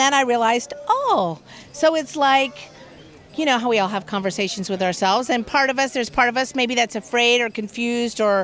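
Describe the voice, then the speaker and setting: Over light background noise, a woman's high-pitched voice carries lively intonation at a moderate pace, with a dry sound and no echo. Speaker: interviewee. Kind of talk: interview answer. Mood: warm, animated. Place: street. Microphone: handheld.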